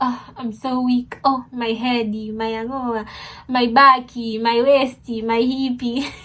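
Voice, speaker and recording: Putting on a whiny character voice, a woman speaks at a high pitch and a fairly slow pace in a monotone, flat intonation. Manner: whiny, mock-feeble, exaggerated.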